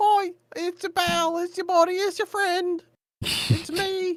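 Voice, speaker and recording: This is a put-on character voice at an extremely high pitch. It moves at a fairly slow pace. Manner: friendly, ingratiating, deceptive.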